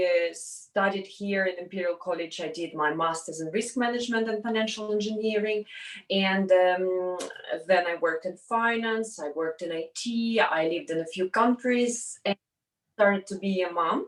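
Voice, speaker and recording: At a moderate pace, a woman with a medium pitch speaks with ordinary pitch variation. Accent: Russian. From Russia. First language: Russian. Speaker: entrepreneur. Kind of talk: interview. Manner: halting.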